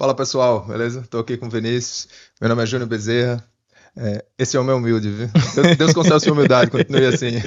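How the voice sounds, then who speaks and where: Speech comes at a very fast pace in a northeastern Brazilian accent. Pitch variation is ordinary. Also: man, medium pitch for a man. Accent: northeastern Brazilian (Sergipe). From Sergipe, northeastern Brazil. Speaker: podcast co-host, mining worker. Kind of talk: casual podcast chat.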